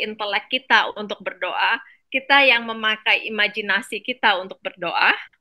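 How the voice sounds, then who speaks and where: Speaking at a moderate pace with a non-native accent, a woman uses a fairly high, bright, sharp voice with fairly even intonation. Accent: non-native Indonesian. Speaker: medical doctor presenting a book summary. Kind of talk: online reading class presentation. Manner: halting, many fillers.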